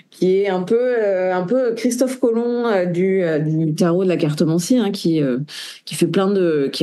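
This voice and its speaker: The tone is dark and mellow, with lively intonation. The pace is moderate, and room echo can be heard. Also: woman. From France. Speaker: tarot reader and researcher. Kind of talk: interview. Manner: halting, many hesitations.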